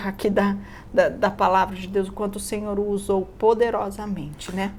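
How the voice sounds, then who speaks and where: The woman's pitch is medium. She keeps a moderate pace. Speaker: Bible study co-host. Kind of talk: Bible study discussion.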